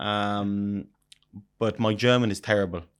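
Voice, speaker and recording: In a very clean recording with a silent background, the speaker talks in an Irish accent. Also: man. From Ireland, Wexford/Wicklow area. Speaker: restaurateur. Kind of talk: interview. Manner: halting.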